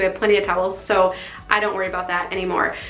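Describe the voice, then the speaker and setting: The voice belongs to a woman. Room echo is audible around her. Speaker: home organizing vlogger. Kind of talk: casual vlog chat. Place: bathroom.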